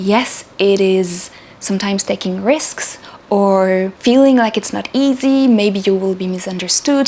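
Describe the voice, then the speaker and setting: A woman of medium pitch speaks at a fairly slow pace with a non-native accent and ordinary pitch variation, with noticeable background noise. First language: not English. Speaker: spiritual channel host. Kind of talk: spiritual talk to camera. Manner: halting, with repeated words.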